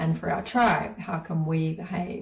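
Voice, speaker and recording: A woman speaks at a fairly low pitch in a New Zealand accent, keeping a fairly slow pace. There is noticeable background noise. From New Zealand, rural Māori community. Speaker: spiritual teacher. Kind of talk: guided course talk.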